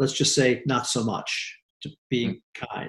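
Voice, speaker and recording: A somewhat breathy male voice at a moderate pace. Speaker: real estate executive. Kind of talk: interview conversation.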